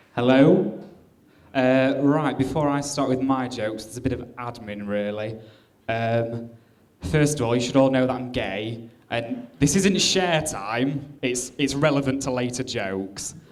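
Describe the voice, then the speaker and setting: Noticeable background noise and audible room echo surround a man's voice. He talks at a fairly slow pace in a medium pitch with ordinary pitch variation. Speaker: comedian. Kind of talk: stand-up. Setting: stage with audience.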